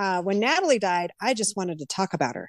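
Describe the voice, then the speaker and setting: The speech moves at a fairly quick pace in a normal speaking voice. The background is quiet. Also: woman. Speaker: singer-songwriter. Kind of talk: casual interview.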